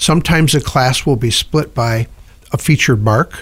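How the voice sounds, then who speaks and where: Speaking at a moderate pace, a man with an American accent has a somewhat breathy voice at a medium pitch. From upstate New York. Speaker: car show organizer. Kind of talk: radio interview.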